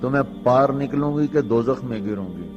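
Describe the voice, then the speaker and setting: Backed by music, a man talks with lively intonation. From Pakistan. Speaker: Islamic scholar and preacher. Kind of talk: religious sermon. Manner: calm.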